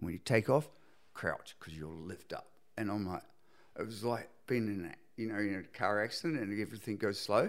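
Taking long, frequent pauses, a man with a New Zealand accent and a fairly low pitch uses ordinary pitch variation. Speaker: surfboard shaper. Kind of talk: casual chat.

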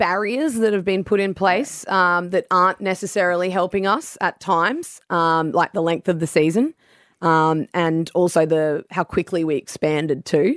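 A woman's fairly low voice in an Australian accent, with ordinary pitch variation, very even loudness and a moderate pace, in a dry, close recording with no echo that is very clean, with a silent background. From Brisbane, Australia. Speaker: former AFLW footballer and commentator. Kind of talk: casual radio interview.

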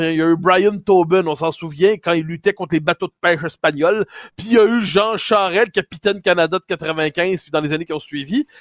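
Delivered at a moderate pace with ordinary pitch variation, the voice has a dry, close sound with no echo. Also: man. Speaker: political commentator and radio host. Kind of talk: commentary and interview. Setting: remote link from Paris.

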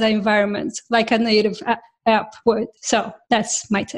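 With a non-native accent, a woman is talking. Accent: foreign-accented English. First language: not English. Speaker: software developer, podcast co-host. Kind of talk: casual tech panel chat.

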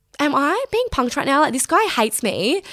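With a fairly bright tone, a woman speaks at a moderate pace, her high pitch making big swings.

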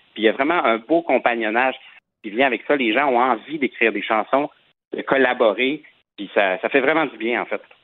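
Moving at a fairly quick pace, a man with a normal speaking voice talks at medium pitch with ordinary pitch variation. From Quebec. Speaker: singer. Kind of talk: interview.

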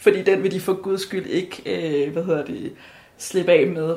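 Background noise is noticeable here. The voice belongs to a woman. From Denmark. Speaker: law student. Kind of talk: casual chat. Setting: kitchen at home. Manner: halting.

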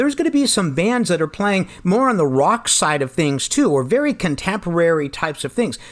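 A man with a high voice and an American accent speaks fairly quickly with hardly any pauses. His pitch swings very widely while his loudness stays very even, over noticeable background noise. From Pennsylvania. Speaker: jazz drummer and music teacher. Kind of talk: radio interview.

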